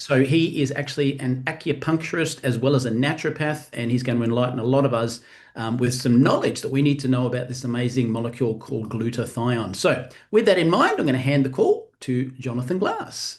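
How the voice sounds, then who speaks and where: Somewhat breathy, the voice moves at a fairly quick pace in an Australian accent. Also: man, medium pitch for a man, ordinary pitch variation. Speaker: event host for a wellness company. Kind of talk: live webinar hosting. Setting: video call live stream. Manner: fast.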